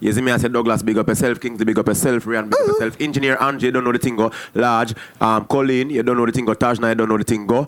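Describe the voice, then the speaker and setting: This man talks very fast. The pitch of his voice is medium. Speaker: podcast host. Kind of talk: casual chat.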